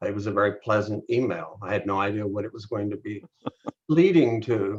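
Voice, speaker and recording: This man has a fairly low pitch and a somewhat breathy voice, talking at a moderate pace. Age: 70s. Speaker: interviewer, local film community figure. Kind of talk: casual interview chat.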